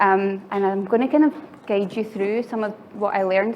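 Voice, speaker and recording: A woman with a Glaswegian accent talks at a fairly quick pace over noticeable background noise. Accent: Glaswegian Scottish. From Scotland, Glasgow. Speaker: software engineer and conference speaker. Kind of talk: conference talk. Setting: stage with audience. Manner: fast.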